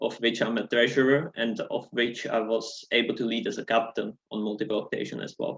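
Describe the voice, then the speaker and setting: Talking at a fairly quick pace with a non-native accent, a man delivers his words at a medium pitch in a monotone, flat intonation. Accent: noticeable non-native English. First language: not English. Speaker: student election candidate. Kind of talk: debate opening statement.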